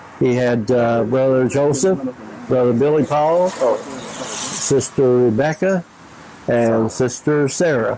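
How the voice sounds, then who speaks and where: Over noticeable background noise, a man with an American accent speaks at a very slow pace in a medium-pitched voice with ordinary pitch variation. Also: very even loudness. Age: 70s. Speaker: church member. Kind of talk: interview.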